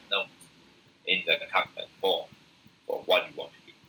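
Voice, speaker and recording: The speaker is a man. He has a Taiwanese accent. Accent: non-native English, Taiwanese Mandarin. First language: Mandarin. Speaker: university lecturer. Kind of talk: lecture. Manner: halting, many fillers.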